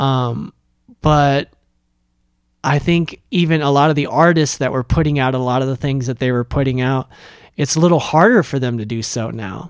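A man with an ordinary speaking voice talks at a medium pitch and moderate pace with ordinary pitch variation on a very clean recording with a silent background. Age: 30s. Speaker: podcaster and musician. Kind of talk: solo monologue rant.

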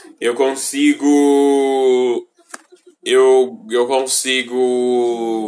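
At a very slow pace, a man with a medium pitch speaks in a monotone, flat way. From Brazil. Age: 20s. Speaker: vlogger. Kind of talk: casual chat. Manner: stutters easily; halting.

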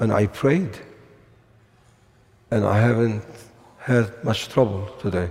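A man speaks at a fairly slow pace and fairly low pitch, his slightly mellow tone showing vocal fry and a slightly husky edge.

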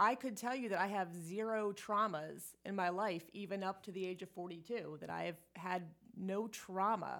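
A woman speaks at a moderate pace with hardly any pauses. Her pitch is medium and her intonation fairly even. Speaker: energy healer. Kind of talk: casual interview. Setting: in person, same room as host. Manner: rambling, overtalking.

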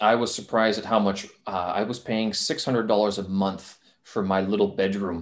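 The voice is an unremarkable speaking voice, delivered at a moderate pace. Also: man, fairly low pitch for a man. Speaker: podcast host; English teacher in China. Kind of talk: casual interview. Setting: video call.

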